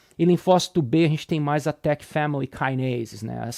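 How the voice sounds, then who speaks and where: A man with a Brazilian accent speaks at a moderate pace and a fairly high pitch. The recording is very clean, with a silent background and a dry, close sound with no echo. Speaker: immunology professor. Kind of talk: lecture. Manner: casual, informal; halting, repeats words.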